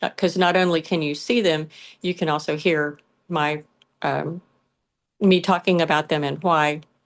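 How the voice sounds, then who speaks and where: A woman with a Southern US accent talks in a very deep, low pitch and fairly even intonation, pausing long and often against a quiet background. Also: moderate pace. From US South, south Georgia. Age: 60s. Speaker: pet brand founder. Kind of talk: interview.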